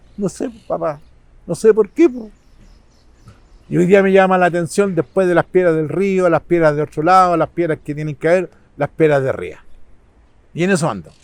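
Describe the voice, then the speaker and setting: Recorded dry and close with no echo, a man speaks at a moderate pace with long, frequent pauses. His high voice shows ordinary pitch variation. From Chile, San Bernardo. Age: 70s. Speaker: local community figure. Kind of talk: interview.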